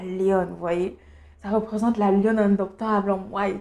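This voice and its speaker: A Cameroonian accent with a dark, mellow tone and monotone, flat intonation. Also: woman. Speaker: beauty youtuber. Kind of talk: casual vlog monologue. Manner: hesitant, many fillers.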